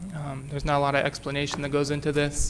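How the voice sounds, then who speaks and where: A man talks at a fairly quick pace in a fairly high pitch with monotone, flat intonation. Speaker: city staff presenter. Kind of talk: council committee presentation. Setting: council meeting with microphone. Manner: loud.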